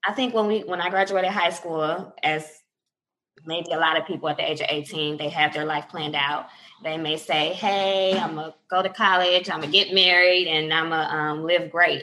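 A woman with an American accent, fairly low in pitch, with a bright, sharp tone, fairly even intonation and a moderate pace. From Detroit area, Michigan. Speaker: law student, former social worker. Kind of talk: casual interview. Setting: remote call.

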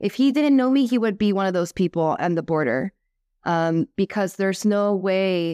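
An ordinary speaking voice with an American accent moves at a moderate pace with ordinary pitch variation, recorded very cleanly against a silent background, the sound dry and close with no echo. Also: woman. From US, Cuban diaspora. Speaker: YouTuber and influencer. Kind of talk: casual interview.

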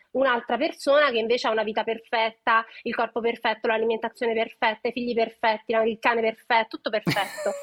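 A woman's very fast speech at a fairly high pitch, dry and close with no echo. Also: hardly any pauses. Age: 30s. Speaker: nutrition educator. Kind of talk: casual chat. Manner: animated.

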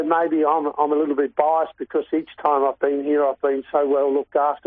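A man with a Queensland accent and a fairly high-pitched voice. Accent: Queensland Australian. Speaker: racehorse trainer. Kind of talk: radio interview.

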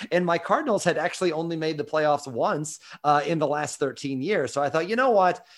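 In a plain, everyday voice, a man with an American accent speaks at a fairly high pitch with ordinary pitch variation over a quiet background. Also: fairly quick pace. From US Midwest. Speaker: writer and columnist. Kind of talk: casual chat.

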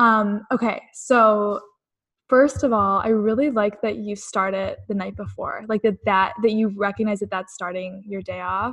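An unremarkable speaking voice, this woman's has a medium pitch and fairly even intonation. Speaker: podcast host. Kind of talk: podcast intro and interview.

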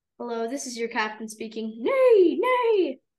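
A woman puts on a character voice. She pitches it high. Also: moderate pace. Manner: silly, joking, with neighing.

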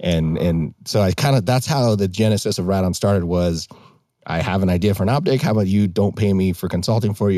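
Speaking very fast in an American accent, a man with a very deep, low pitch and a dark, mellow tone keeps ordinary pitch variation and very even loudness. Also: very clean recording, silent background. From western Montana. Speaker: business founder. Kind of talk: casual interview.

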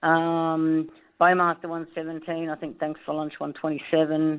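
Against a quiet background, a woman with an Australian accent talks at a moderate pace with a very deep, low pitch. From Northern Territory, Australia. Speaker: racehorse trainer and former jockey. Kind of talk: casual interview.

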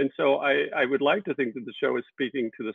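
A man with a normal speaking voice keeps to a medium pitch, his pitch varying in an ordinary way. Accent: American. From Texas. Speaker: TV director and producer. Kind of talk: casual video interview. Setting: video call.

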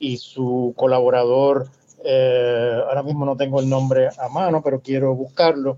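The speaker is a man. His pitch sits fairly high. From Cuba, raised in Panama and Puerto Rico. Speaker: academic author. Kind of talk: interview conversation.

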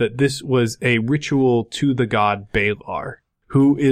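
A quiet background frames this plain reading aloud.

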